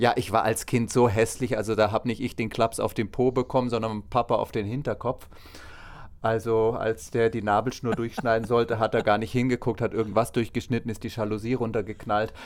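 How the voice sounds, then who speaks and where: Monotone and flat in intonation, a man at a medium pitch talks at a fairly quick pace. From Bavaria, Rosenheim. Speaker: drag artist. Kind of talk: interview.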